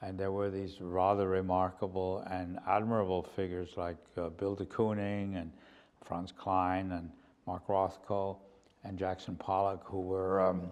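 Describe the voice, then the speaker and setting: In a German accent, a man speaks fairly slowly with a very deep, low pitch and flat, monotone intonation. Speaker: painter. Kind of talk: interview. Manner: halting, with many fillers and repeats.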